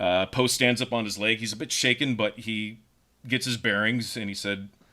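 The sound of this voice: A reading voice that is unforced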